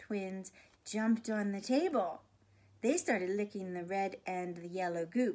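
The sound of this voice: This is an unforced reading voice. It carries ordinary pitch variation.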